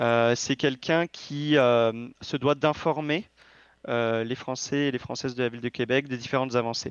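With an ordinary speaking voice, a man talks at a medium pitch and a fairly slow pace, his intonation fairly even. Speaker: political candidate. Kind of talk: interview.

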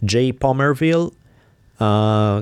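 A man speaks with an Italian accent. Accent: foreign (Italian). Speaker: podcast co-host, teacher and author. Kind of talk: interview and casual chat; reading out donor names and announcements.

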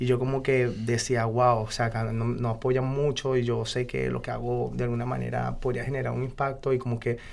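A man with a medium pitch moves at a fairly quick pace, his intonation monotone and flat. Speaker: freestyle rapper. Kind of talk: interview.

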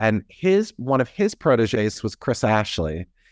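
In a very clean recording with a silent background and a dry, close sound free of echo, a man with an American accent and an unremarkable speaking voice talks at a fairly slow pace and medium pitch. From US Midwest, near Cleveland, Ohio. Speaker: theater artistic director and choreographer. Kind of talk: interview.

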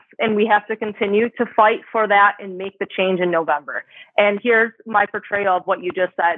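A woman with an ordinary speaking voice at medium pitch, moderate pace and fairly even intonation. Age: 30s. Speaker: cannabis influencer and music photographer. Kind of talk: interview conversation.

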